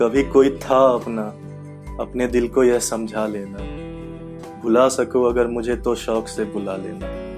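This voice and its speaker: A man's medium-pitched voice with ordinary pitch variation and music in the background. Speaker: poet. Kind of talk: poetry reading.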